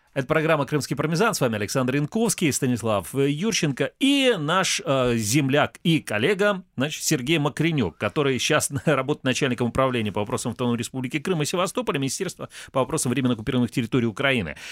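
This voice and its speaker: Very fast speech with lively intonation and hardly any pauses. The sound is dry and close, with no echo. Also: man, fairly high pitch for a man. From Crimea, Kerch. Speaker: radio host. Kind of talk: casual chat.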